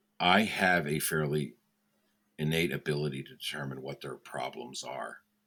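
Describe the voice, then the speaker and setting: A man speaks at a moderate pace in a very deep, low pitch, with vocal fry and a bright, sharp tone. His loudness swings widely while his pitch varies in an ordinary way. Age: 60s. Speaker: mentalist, lawyer and mentor. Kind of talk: casual interview.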